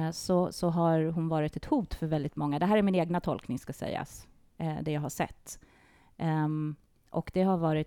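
Very deep and low in pitch, a woman speaks in a dark, mellow tone with ordinary pitch variation. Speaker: classically trained singer and sound healer. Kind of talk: conversational podcast interview. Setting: studio with microphones.

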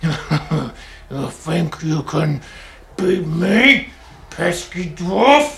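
A put-on character voice at a middle pitch moves at a very slow pace through clear background noise. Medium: actual play. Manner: growling, brutish.

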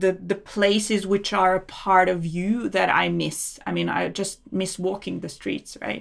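A woman at a fairly slow pace, with a Serbian accent. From Serbia, Belgrade. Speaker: immigrant guest, research advisor. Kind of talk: interview. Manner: laughs often.

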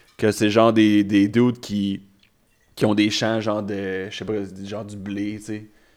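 A man speaks at a fairly slow pace in a fairly low pitch, on a very clean recording with a silent background. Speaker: stand-up comedian. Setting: studio.

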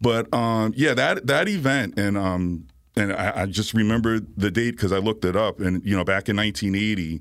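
In an American accent, a man with an ordinary speaking voice talks at a moderate pace and a fairly low pitch on a very clean recording with a silent background. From New York (Bronx) and Virginia. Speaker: atmospheric science professor. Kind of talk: radio interview. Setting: radio studio.

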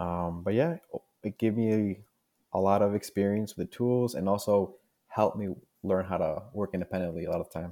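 Spoken with a Spanish accent at a moderate pace, the voice has a dark, mellow tone and ordinary pitch variation. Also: man, fairly low pitch for a man. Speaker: junior geologist. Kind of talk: interview.

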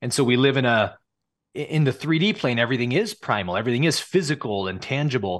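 Against a quiet background, a man with a West Coast accent talks at a very fast pace and a medium pitch, with very wide pitch swings. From California. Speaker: spiritual teacher. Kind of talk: casual interview.

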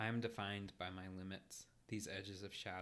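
It's plain reading aloud with fairly even intonation.

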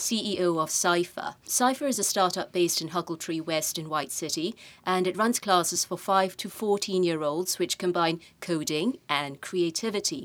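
This woman has an unremarkable speaking voice, pitched in the middle range. She keeps a moderate pace, and her pitch varies in an ordinary way. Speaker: podcast host, managing director. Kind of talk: interview conversation. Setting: studio.

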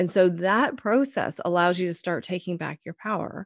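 A woman's plain, everyday voice, medium in pitch, at a moderate pace over a quiet background. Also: dry, close sound with no echo. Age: 50s. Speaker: business coach. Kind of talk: interview.

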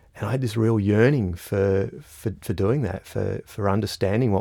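Here a man with an Australian accent speaks in a dark, mellow tone. The recording is very clean, with a silent background. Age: 40s. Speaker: strategic foresight consultant. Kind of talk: interview conversation. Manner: halting, frequent repetitions and fillers.

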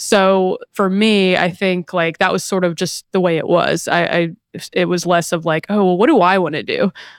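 A woman with an American accent and a normal speaking voice talks at a medium pitch and moderate pace with fairly even intonation and hardly any pauses, on a very clean recording with a silent background. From US South, small-town North Carolina. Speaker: PR professional. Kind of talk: casual interview.

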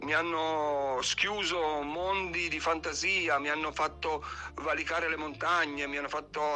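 A man with a fairly high voice talks at a moderate pace with fairly even intonation over noticeable background noise. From Piedmont, Italy. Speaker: poet. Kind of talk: poetry reading. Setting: recorded voice message.

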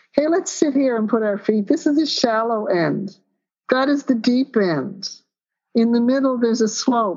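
A woman with an ordinary speaking voice talks at a moderate pace, her fairly high pitch carried by lively intonation and very even loudness. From Newfoundland, Canada. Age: 60s. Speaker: professor of physical education. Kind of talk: interview conversation.

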